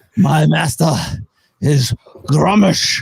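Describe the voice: A man's put-on character voice, raspy and gruff, at a fairly high pitch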